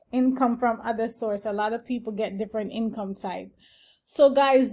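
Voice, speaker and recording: A woman with an unremarkable speaking voice, fairly high in pitch, speaks at a moderate pace with fairly even intonation in a very clean recording with a silent background. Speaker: housing channel creator, affordable housing development staff. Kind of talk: tutorial.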